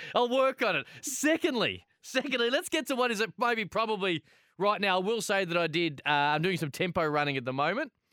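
Raising and projecting his voice, a man talks at a fairly quick clip with a bright, sharp tone, a high pitch, very wide pitch swings and very even loudness. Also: dry, close sound with no echo, very clean recording, silent background. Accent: Australian. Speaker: sports radio host. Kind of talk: casual radio sports chat. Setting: radio studio.

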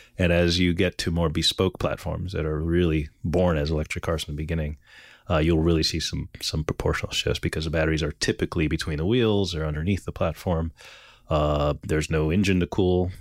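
At a very fast pace, a man with a very deep, low pitch speaks in a monotone, flat way. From Quebec, Montreal. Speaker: car designer. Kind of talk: interview conversation. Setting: old music studio. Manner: hesitant, with many fillers.

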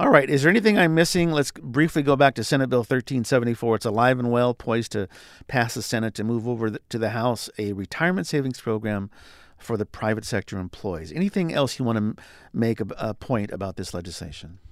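Lively intonation in a plain, everyday voice, dry and close with no echo, on a very clean recording with a silent background. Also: man, medium pitch for a man, fairly quick pace. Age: 50s. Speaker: podcast host. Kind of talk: interview.

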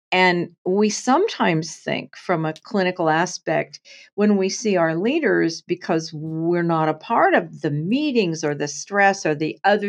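A woman talks at a fairly slow pace in a normal speaking voice, fairly low in pitch. Her pitch varies in an ordinary way against a quiet background. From US Pacific Northwest, Portland, Oregon. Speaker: nurse, actor and author. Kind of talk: interview conversation.

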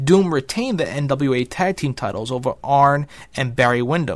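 Recorded very cleanly against a silent background, a man with a plain, everyday voice speaks fairly high at a moderate pace, with ordinary pitch variation. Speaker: narrator of wrestling history. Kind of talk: scripted narration of wrestling history. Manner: steady, formal, documentary-style.

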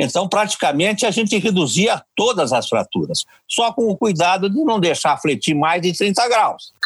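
A man speaks with a high pitch and lively intonation at a moderate pace. His loudness stays very even, with hardly any pauses. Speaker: orthopedic surgeon, professor. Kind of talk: interview. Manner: halting.

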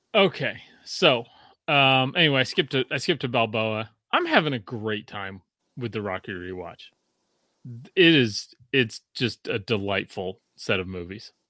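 An unremarkable speaking voice from a man of medium pitch comes at a moderate pace with big swings in loudness, dry and close with no echo on a very clean recording with a silent background. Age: 40s. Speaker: podcast host. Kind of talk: casual chat.

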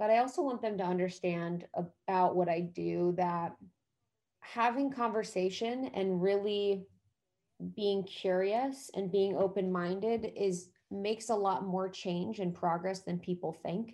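A normal speaking voice with an American accent, at a fairly slow pace, with ordinary pitch variation. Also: woman, medium pitch for a woman. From US Midwest (Ohio). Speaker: podcast host and wellness entrepreneur. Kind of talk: casual chat.

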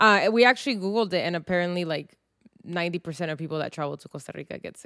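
A woman talks at a very fast pace with a fairly low pitch and ordinary pitch variation. The sound is dry and close with no echo. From US, San Diego, Mexican-American family. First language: Spanish. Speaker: podcast co-host. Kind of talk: casual chat.

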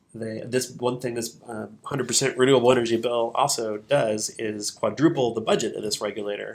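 An unremarkable speaking voice with an American accent, a moderate pace and fairly even intonation. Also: man. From central Missouri. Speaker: clean energy nonprofit founder. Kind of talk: casual interview. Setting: studio.

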